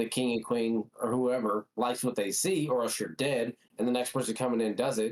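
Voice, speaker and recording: A man with an ordinary speaking voice talks at a fairly quick pace and a medium pitch. His pitch varies in an ordinary way, and his loudness stays very even. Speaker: podcast co-host, youth coach. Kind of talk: casual chat.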